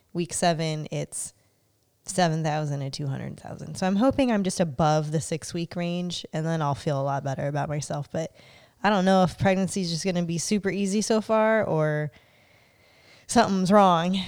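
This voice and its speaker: Speaking at a moderate pace, a woman with a plain, everyday voice and a fairly low pitch shows ordinary pitch variation on a very clean recording with a silent background. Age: 30s. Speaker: podcast host. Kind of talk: casual chat; reading aloud.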